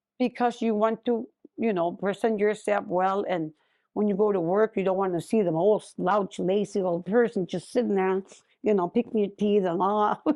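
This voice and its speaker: A woman speaks at a moderate pace in a medium pitch with fairly even intonation. Her tone is dark and mellow. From Utqiagvik (Barrow), Alaska. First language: Inupiaq. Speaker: Inupiat elder. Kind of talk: interview. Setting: studio.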